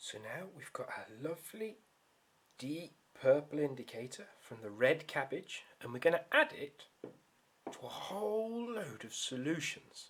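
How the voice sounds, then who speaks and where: A man with a British accent and a fairly high pitch uses very wide pitch swings and big swings in loudness. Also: fairly slow pace. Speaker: science teacher. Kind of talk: tutorial. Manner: quieter.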